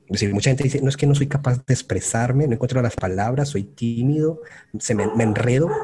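Very fast, medium-pitched speech from a man, with ordinary pitch variation, very even loudness and noticeable background noise. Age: 30s. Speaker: UX designer. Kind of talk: interview.

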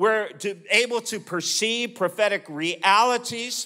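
Raising and projecting his voice, a man with an American accent speaks fairly slowly in a bright, sharp tone with ordinary pitch variation. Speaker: preacher. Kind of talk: sermon. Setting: church with audience.

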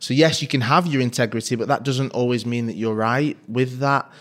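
With a Mancunian accent, a man talks at a moderate pace and medium pitch, keeping his intonation fairly even on a very clean recording with a silent background. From Manchester, Fallowfield. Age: 30s. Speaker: sports presenter. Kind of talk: interview.

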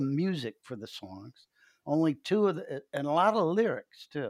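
A normal speaking voice with an American accent moves at a fairly slow pace with lively intonation. The recording is very clean with a silent background, dry and close with no echo. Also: man. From upstate New York. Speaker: rock bassist and songwriter. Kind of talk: interview.

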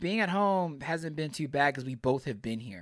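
A man's fairly high voice with an American accent, lively intonation and a moderate pace, on a very clean recording with a silent background. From Pearland, Texas (Houston area). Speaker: firefighter. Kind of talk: casual chat.

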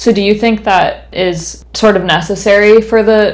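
With an American accent and a normal speaking voice, a woman at medium pitch talks at a fairly slow pace with fairly even intonation. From US West Coast. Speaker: podcast host. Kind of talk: interview.

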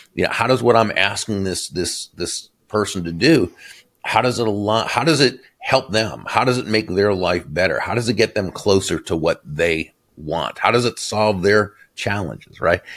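A man with an unremarkable speaking voice, fairly low in pitch with ordinary pitch variation, at a moderate pace. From Boston, Massachusetts. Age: 60s. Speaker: author and sales speaker. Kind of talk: interview. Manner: warm, gracious.

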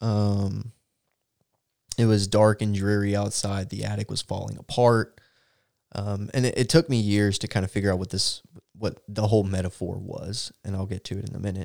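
A normal speaking voice from a man with an American accent, fairly low in pitch, with fairly even intonation at a moderate pace, dry and close with no echo on a very clean recording with a silent background. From Texas. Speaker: church podcast co-host. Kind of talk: casual chat and personal testimony.

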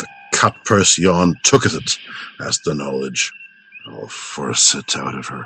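A raspy, put-on character voice from a man, very deep and low, at a fairly slow pace with long, frequent pauses. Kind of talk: comic mock-Shakespearean stage reading. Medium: comedy sketch. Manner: urgent, commanding, overblown.

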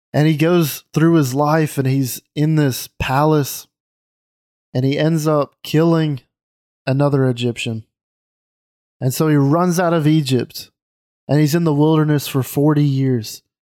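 A man with a Southern US accent talks at a fairly slow pace in a fairly high pitch, his tone dark and mellow. His intonation is fairly even, his loudness very even, and his pauses long and frequent. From US South, Mississippi. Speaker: podcast host. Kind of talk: casual chat.

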